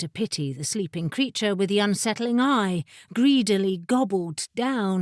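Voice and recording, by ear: This is reading aloud in a natural voice. The delivery stays that way throughout.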